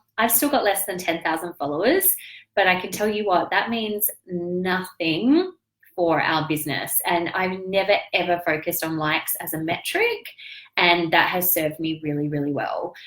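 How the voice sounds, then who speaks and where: In an Australian accent, a woman speaks at a moderate pace with a fairly low pitch. Her tone is animated, with ordinary pitch variation. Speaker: business coach and online entrepreneur. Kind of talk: live stream business update. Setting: live video stream.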